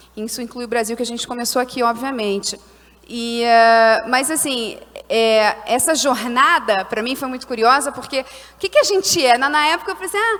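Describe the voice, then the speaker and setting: A woman in a Carioca accent, high in pitch with ordinary pitch variation, at a moderate pace. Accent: carioca, hissing s. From Brazil, Rio de Janeiro. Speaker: social entrepreneur, panelist. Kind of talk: conference panel talk.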